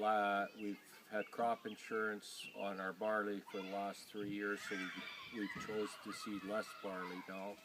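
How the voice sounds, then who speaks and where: In a Canadian Prairie accent, a man with a fairly low pitch speaks in a monotone, flat intonation against noticeable background noise. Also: fairly slow pace. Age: 60s. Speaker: farmer. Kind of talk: interview.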